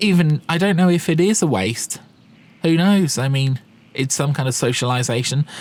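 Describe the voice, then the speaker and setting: A man with a British accent, fairly high pitch, lively intonation and a moderate pace. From UK. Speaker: gaming YouTuber. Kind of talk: casual vlog commentary. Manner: hesitant, with fillers.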